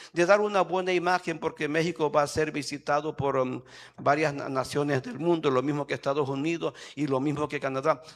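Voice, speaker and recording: An ordinary speaking voice at a moderate pace, fairly even intonation, on a very clean recording with a silent background. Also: man. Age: 60s. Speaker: pastor. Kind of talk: sermon. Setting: church.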